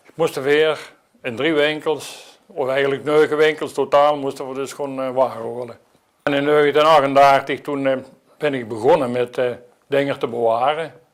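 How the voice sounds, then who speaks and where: Talking at a moderate pace, a man has a fairly high voice. His intonation is monotone and flat. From Dutch Limburg, Elsloo. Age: 80s. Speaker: local historian. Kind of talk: oral history interview.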